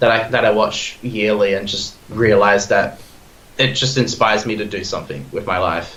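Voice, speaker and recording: A man speaks with an Australian accent. Room echo is audible. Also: fairly low pitch for a man, ordinary pitch variation, moderate pace. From Australia, Perth. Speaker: podcast guest, film fan. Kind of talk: casual chat. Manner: animated, halting with repeated words.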